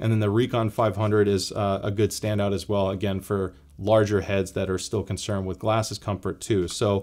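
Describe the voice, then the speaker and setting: In a very clean recording with a silent background, a man talks at a fairly quick pace with hardly any pauses, his fairly low voice monotone and flat in intonation. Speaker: tech reviewer. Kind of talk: product review tutorial. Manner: fast.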